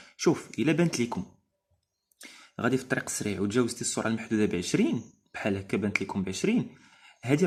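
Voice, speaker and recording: Speaking at a fairly quick pace with a Moroccan accent, a man uses a medium pitch, very wide pitch swings and a somewhat breathy delivery. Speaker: driving instructor. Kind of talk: educational explainer. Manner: casual, hesitant.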